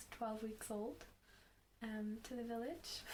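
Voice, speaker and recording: A woman with a Northern Irish accent, fairly high pitch, fairly even intonation and a moderate pace, with audible room echo. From Northern Ireland and Malawi. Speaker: nursing student. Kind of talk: casual podcast interview.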